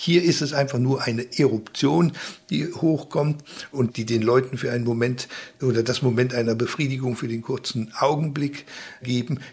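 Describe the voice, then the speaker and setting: In a somewhat breathy medium-pitched voice, a man talks at a moderate pace with fairly even intonation. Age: 60s. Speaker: left-wing publisher. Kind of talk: interview.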